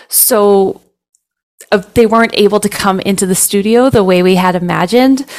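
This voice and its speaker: This woman talks at a moderate pace with a Canadian accent. Her intonation stays fairly even, broken by long, frequent pauses. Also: medium pitch for a woman. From Medicine Hat, Alberta, Canada. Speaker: jazz vocalist and children's entertainer. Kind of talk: interview.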